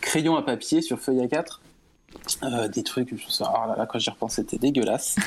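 A man talks at a fairly slow pace while noticeable background noise plays behind him. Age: 30s. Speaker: 2D animator and illustrator. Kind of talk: casual interview. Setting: online call over Discord with lag.

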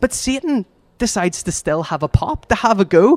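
Dry, close sound with no echo, carrying very wide pitch swings. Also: man. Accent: Northern Irish. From Northern Ireland, Lisburn. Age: 20s. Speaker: youth community worker. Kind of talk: talk at a church gathering.

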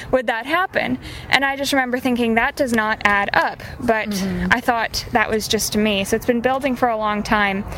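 Over noticeable background noise, a woman with an American accent speaks at a fairly high pitch and moderate pace, with ordinary pitch variation and hardly any pauses. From US Midwest. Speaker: feminist activist. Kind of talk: interview. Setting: at a live event. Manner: halting.

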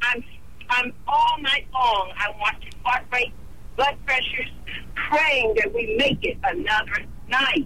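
A woman with a high pitch speaks at a very slow pace against noticeable background noise. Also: ordinary pitch variation, very even loudness. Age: 60s. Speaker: nurse. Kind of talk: emotional testimony. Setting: phone call.

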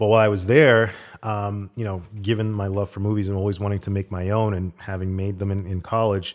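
A man's fairly low-pitched voice, a normal speaking voice, at a fairly quick pace with fairly even intonation. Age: 40s. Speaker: assistant director and storyboard artist. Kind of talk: casual interview chat.

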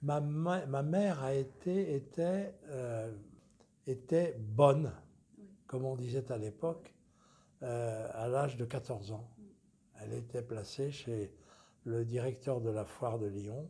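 A somewhat breathy, dark, mellow voice at a very slow pace, with ordinary pitch variation and long, frequent pauses. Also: man, medium pitch for a man. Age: 80s+. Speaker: lawyer. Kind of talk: interview.

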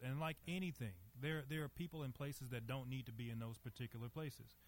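A man speaks in a Southern US accent at a fairly quick pace. His medium-pitched voice is somewhat breathy, with ordinary pitch variation. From US South, Monroe, Louisiana. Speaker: lawyer. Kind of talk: interview. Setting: stage with audience.

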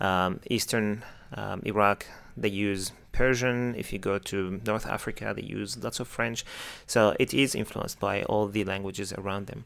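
A man with an Arabic accent talks at a moderate pace. His pitch is fairly low and his intonation fairly even. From Syria. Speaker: Arabic teacher. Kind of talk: casual educational chat.

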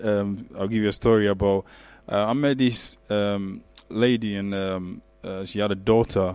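A man talks at a fairly slow pace in a fairly low voice. His intonation stays flat and monotone. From Ghana. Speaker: IT architect and church youth leader. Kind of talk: panel interview.

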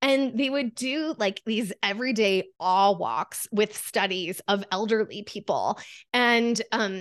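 A woman with an American accent speaks in a plain, everyday voice at a fairly high pitch with ordinary variation, the sound dry and close with no echo against a quiet background. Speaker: coach and photographer. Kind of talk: casual interview chat.

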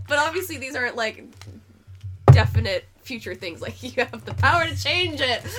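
Amid noticeable background noise, a woman speaks at a moderate pace with big swings in loudness. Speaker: tarot reader. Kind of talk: casual chat with tarot reading. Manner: reading aloud card meanings.

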